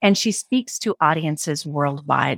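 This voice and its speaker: A woman talks in an ordinary speaking voice at a moderate pace with lively intonation, recorded very cleanly against a silent background in a dry, close sound with no echo. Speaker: podcast host and journalist. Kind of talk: interview intro and casual conversation.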